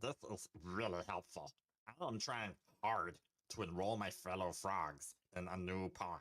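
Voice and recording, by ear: A man puts on a character voice, speaking at a fairly slow pace with a very deep, low pitch.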